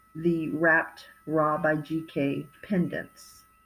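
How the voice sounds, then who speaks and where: A woman with an American accent speaks in a warm, relaxed tone that is somewhat breathy. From California. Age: 50s. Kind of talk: product showcase monologue.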